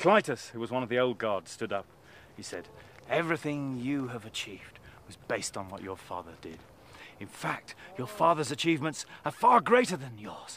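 A man talks at a moderate pace with lively intonation, big swings in loudness and long, frequent pauses, in a dry sound with no echo over light background noise. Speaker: presenter. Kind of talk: storytelling to camera. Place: open country.

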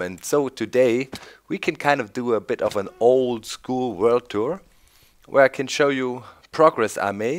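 The man talks at a fairly slow pace, and his pitch varies in an ordinary way. Nothing much stirs in the quiet background. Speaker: gameplay commentator. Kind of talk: casual gameplay commentary. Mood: happy, excited. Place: home room. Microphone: studio mic.

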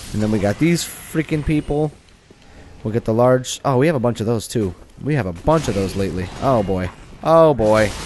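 A man speaks in a normal speaking voice at medium pitch. His intonation is lively. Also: moderate pace. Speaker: gaming YouTuber. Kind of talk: let's play commentary. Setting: home recording while gaming. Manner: casual, filler-heavy with frequent swearing.

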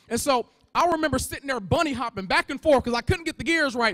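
Against a quiet background, a man talks at a very fast pace in an animated tone with ordinary pitch variation. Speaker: motivational speaker. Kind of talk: motivational keynote speech. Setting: stage with audience. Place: hall. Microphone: handheld.

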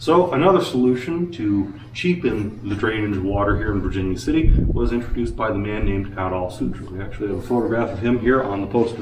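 With noticeable background noise behind him, a man talks at a fairly quick pace. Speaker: mine tour guide. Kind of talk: guided tour talk. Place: workshop. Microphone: camera far.

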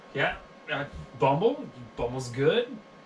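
A man talks at a moderate pace. Audible room echo and light background noise surround him. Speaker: comedian rehearsing a set. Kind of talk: stand-up comedy routine. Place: home room.

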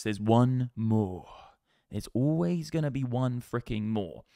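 A gruff, put-on character voice from a man, medium in pitch, at a moderate pace. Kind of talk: commentary. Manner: exaggerated meme delivery.

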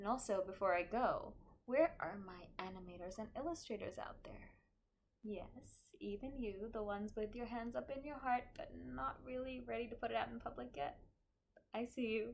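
Light background noise accompanies a woman with vocal fry and lively intonation speaking at a moderate pace. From North America. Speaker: voice actor. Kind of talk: casual talk to camera. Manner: upbeat, friendly. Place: home room.

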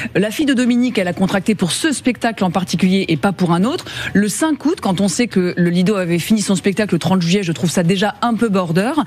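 A woman speaks fairly quickly, keeping her loudness very even. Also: lively intonation. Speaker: lawyer. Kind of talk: legal advice on TV. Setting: studio. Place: studio. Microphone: studio mic.

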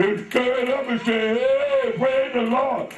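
An extremely high-pitched man's voice with noticeable background noise. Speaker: pastor. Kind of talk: sermon. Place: church. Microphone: pa.

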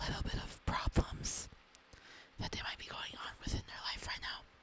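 The voice whispers at a moderate pace. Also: long, frequent pauses. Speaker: content creator. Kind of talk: ASMR encouragement talk. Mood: gentle, comforting. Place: home room. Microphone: handheld.

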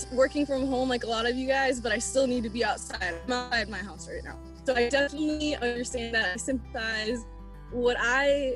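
Over clear music in the background, the voice moves at a fairly quick pace with a dry sound and no echo. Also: woman. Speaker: guest. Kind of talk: interview answer. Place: forest. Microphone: video call.

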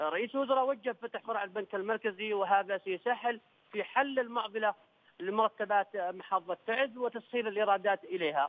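A man speaks at a moderate pace in a high pitch with ordinary pitch variation. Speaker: government media secretary. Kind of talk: TV news debate. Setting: remote link from another city.

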